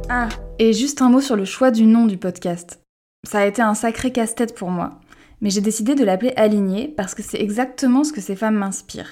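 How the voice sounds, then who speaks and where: A woman's fairly high voice with a dark, mellow tone, ordinary pitch variation and a fairly quick pace, on a very clean recording with a silent background. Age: 30s. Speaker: podcast host and art director. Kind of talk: scripted podcast introduction.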